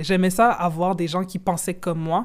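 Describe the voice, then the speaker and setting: A normal speaking voice from a woman, moderate in pace and fairly low in pitch. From Quebec. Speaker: football journalist and content creator. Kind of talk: casual interview.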